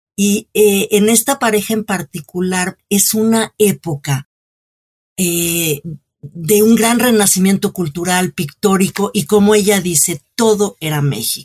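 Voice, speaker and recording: Somewhat breathy, a woman talks at a very slow pace and a medium pitch with ordinary pitch variation, the sound dry and close with no echo. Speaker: cultural journalist and author. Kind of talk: interview.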